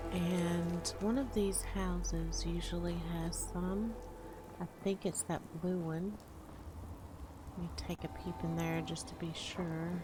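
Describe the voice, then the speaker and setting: Soft-spoken and relaxed in tone, a woman talks at a very slow pace. There is noticeable background noise. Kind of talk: casual gameplay commentary, ASMR. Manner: soft-spoken, relaxed.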